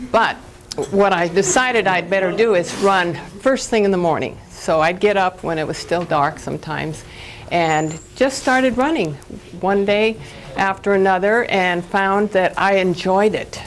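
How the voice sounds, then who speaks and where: Amid noticeable background noise and audible room echo, a woman speaks at a moderate pace in a medium pitch with ordinary pitch variation. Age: 70s. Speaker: vegan athlete speaker. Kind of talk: conference talk. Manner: animated.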